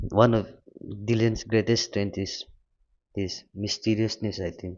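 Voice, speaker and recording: This man has a non-native accent and a fairly low pitch. He speaks at a fairly slow pace in a monotone, flat intonation. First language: not English. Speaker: music reaction youtuber. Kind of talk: casual reaction commentary.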